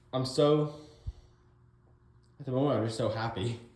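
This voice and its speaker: Audible room echo surrounds a man's voice. His pitch shows ordinary variation. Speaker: garage restoration vlogger. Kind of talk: casual vlog narration. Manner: halting, stumbling over words.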